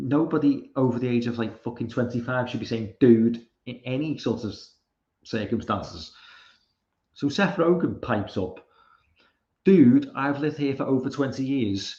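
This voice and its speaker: A dark, mellow tone with a British accent, somewhat breathy, at a moderate pace with ordinary pitch variation and long, frequent pauses. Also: man, medium pitch for a man. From Britain. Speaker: live streamer. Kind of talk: casual commentary reading tweets. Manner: halting, repeated fillers.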